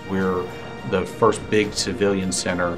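With clear music in the background, a man speaks at a moderate pace in a very deep, low voice. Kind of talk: interview answer. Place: office. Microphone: lapel.

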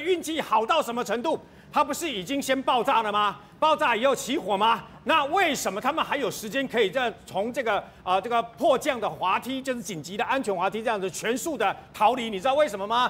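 A man with an extremely high pitch talks at a fairly quick pace, his intonation lively. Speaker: TV news panelist. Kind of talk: TV current affairs panel discussion. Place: studio.

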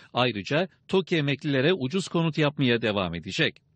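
The recording is dry and close with no echo, and the background is quiet. A man speaks with vocal fry at a fairly high pitch that swings very widely. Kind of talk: news reading. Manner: formal, brisk broadcast-news delivery, even and authoritative.

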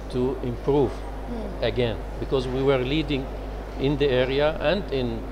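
A man talks while noticeable noise sounds in the background. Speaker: conference interviewee. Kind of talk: interview answer. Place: hall. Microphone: lapel.

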